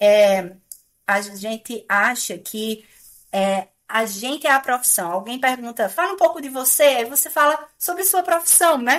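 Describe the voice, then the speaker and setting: A woman with a high pitch speaks at a fairly slow pace, her pitch swinging very widely and her loudness rising and falling sharply, on a very clean recording with a silent background. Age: middle-aged. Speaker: computing professor. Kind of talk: podcast interview. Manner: hesitant, many fillers.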